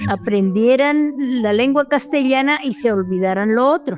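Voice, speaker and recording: A woman with a Colombian accent, lively intonation and a fairly slow pace. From Colombia, Cauca, Misak community. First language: Namtrik (speaking Spanish). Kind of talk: interview testimony. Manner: halting, with repetitions.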